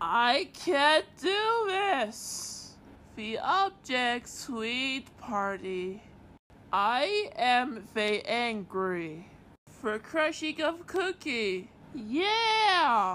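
A woman speaks at a very slow pace in a cartoonish character voice. Her pitch is high, with very wide pitch swings. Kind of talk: comic overacting. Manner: angry, shouting, menacing.

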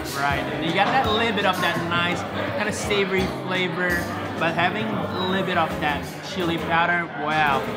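Loud music plays behind a man's voice. His pitch varies in an ordinary way. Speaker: food vlogger. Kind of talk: food review commentary. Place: cafe.

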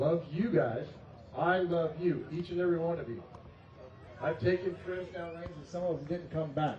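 Amid light background noise and audible room echo, a man with a high voice talks at a moderate pace with fairly even intonation, big swings in loudness, and long, frequent pauses. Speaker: army officer and ministry leader. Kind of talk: rally speech. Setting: stage with audience. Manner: earnest, emotional. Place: open country.

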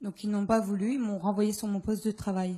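The woman's tone is dark and mellow, somewhat breathy. Her intonation stays monotone and flat against a quiet background. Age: 20s. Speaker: postal worker, stroke victim; audience member. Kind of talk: testimony. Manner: halting. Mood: aggrieved, earnest. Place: hall. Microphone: handheld.

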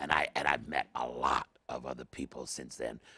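A man's bright, sharp tone comes through with vocal fry in a dry sound with no echo. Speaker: interview guest. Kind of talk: interview answer. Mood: jovial, laughing. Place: studio.

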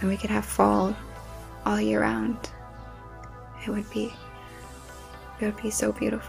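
Over clear background music, a soft-spoken woman speaks at a moderate pace with long, frequent pauses. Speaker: ASMR creator. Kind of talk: ASMR soft talking. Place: home room. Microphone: studio mic.

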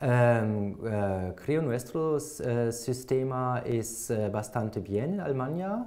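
Speaking very slowly with a German accent, the voice keeps very even loudness and ordinary pitch variation, with hardly any pauses, against a quiet background. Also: man, medium pitch for a man. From Germany, Hamburg; Germany. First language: German (speaking Spanish). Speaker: language exam candidate; candidate. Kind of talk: oral language exam. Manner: halting, many fillers. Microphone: lapel.

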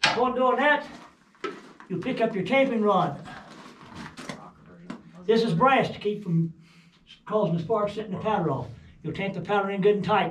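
Long, frequent pauses break up a man's speech, and room echo is audible. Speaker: mine tour guide. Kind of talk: guided tour explanation. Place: tunnel cave. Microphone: phone near.

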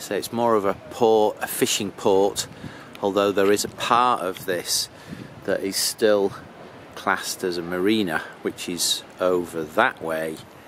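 A man with an unremarkable speaking voice talks at a fairly slow pace and a fairly low pitch with fairly even intonation, in a dry sound with no echo and light background noise. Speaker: motorhome traveller vlogger. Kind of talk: casual vlog chat. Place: street. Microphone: phone near.

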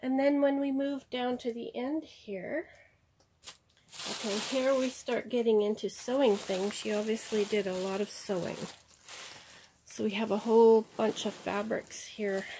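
A woman speaks at a fairly slow pace with ordinary pitch variation. Her long, frequent pauses sit over light background noise. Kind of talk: casual haul vlog chat. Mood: pleased, warm. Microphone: phone near.

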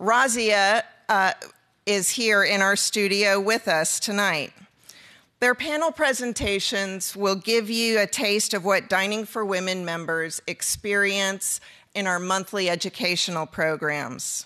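With a bright, sharp tone, a woman talks at a medium pitch and fairly slow pace, showing ordinary pitch variation. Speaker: event organizer. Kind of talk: welcome address. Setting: studio with audience.

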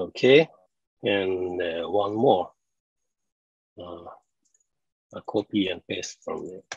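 Very slowly and with long, frequent pauses, a man with a fairly low, somewhat breathy voice talks with ordinary pitch variation and big swings in loudness, the sound dry with no echo against a quiet background. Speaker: conference presenter. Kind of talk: live technical demo. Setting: video call. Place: home room.

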